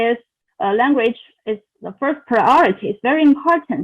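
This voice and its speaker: A woman speaks with a non-native accent in a high voice. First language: not English. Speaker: international graduate student. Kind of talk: interview answer. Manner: halting, many fillers.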